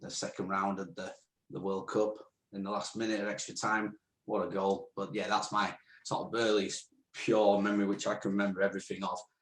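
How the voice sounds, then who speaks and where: A man with a northern English accent talks at a fairly quick pace. His pitch is fairly low and his intonation fairly even. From northern England, Rotherham, South Yorkshire. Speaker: podcast co-host. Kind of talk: casual Q&A interview. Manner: chatty, hesitant with fillers.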